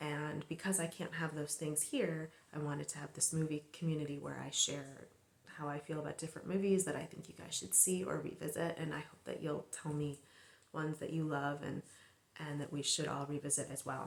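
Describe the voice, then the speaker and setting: Soft-spoken and relaxed in tone, a woman with a very deep, low pitch talks at a fairly quick pace with fairly even intonation. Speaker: filmmaker and movie channel host. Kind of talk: casual movie talk to camera. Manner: soft-spoken, ASMR-style.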